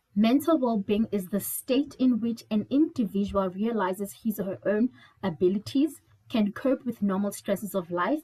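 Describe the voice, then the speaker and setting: At a moderate pace, a woman speaks in a fairly high pitch with ordinary pitch variation, her somewhat breathy voice dark and mellow in tone, the sound dry and close with no echo. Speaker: mental health trainer. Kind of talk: webinar presentation.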